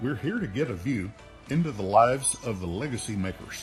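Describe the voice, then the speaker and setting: With music in the background, the speaker keeps a moderate pace while the pitch swings very widely. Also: man. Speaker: podcast host. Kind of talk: podcast intro.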